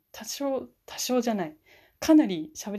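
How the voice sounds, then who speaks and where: A woman speaks with a dark, mellow tone against a quiet background. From Fukushima, Japan. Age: 20s. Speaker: university student. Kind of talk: solo podcast self-introduction. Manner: hesitant, many fillers.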